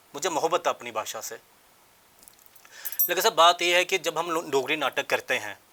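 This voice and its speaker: A man speaks at a high pitch and a moderate pace, with ordinary pitch variation. Long, frequent pauses break up his speech, and the sound is dry and close with no echo. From Jammu, India. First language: Dogri (speaking Hindi). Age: young. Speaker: theatre actor and director. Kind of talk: interview.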